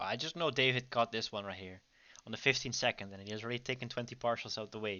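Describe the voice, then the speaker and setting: Talking very fast with a Dutch accent, a man keeps a medium pitch while his loudness swings widely. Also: ordinary pitch variation. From Netherlands. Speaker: trading educator. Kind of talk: livestream trading commentary. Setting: online livestream. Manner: casual, with many fillers.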